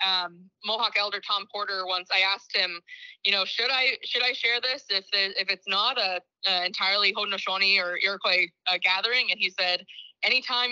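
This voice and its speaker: With an ordinary speaking voice, a woman talks at a fairly quick pace and medium pitch, her intonation fairly even and her loudness very even. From Six Nations of the Grand River, Ontario, Canada. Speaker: nonprofit executive director. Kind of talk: lecture.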